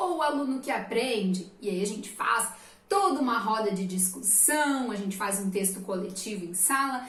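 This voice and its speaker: A woman talks at a moderate pace in an animated tone. Audible room echo and noticeable background noise surround her voice. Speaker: teacher. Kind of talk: lecture. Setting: recorded at a computer desk.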